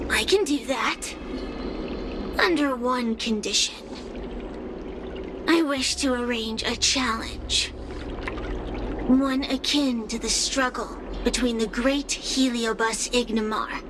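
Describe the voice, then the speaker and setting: A cartoonish character voice, female-sounding and high-pitched, at a fairly slow pace over loud background noise. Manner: mocking, languid.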